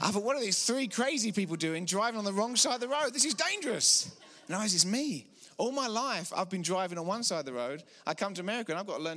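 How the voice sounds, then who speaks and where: In a raised, projected voice with an English accent, the speaker talks very fast with very wide pitch swings. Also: man. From England. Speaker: preacher. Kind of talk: sermon. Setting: church.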